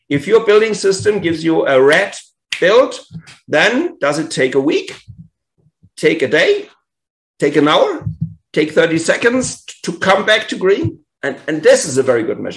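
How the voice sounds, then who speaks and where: This man speaks with a German accent. His pace is moderate. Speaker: tech conference speaker. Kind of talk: conference talk. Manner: halting.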